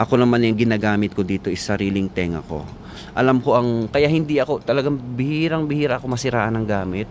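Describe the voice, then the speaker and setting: Noticeable background noise sits under a man talking at a very fast pace. His pitch is medium, with ordinary variation. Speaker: sound system operator and vlogger. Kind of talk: tutorial. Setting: on site at a wedding event. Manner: casual, conversational.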